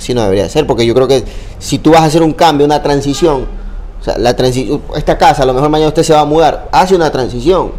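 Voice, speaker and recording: At a very fast pace, a man with a fairly high pitch and ordinary pitch variation talks over noticeable background noise. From Ecuador, Babahoyo (Los Ríos). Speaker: sports journalist and content creator. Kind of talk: casual interview chat.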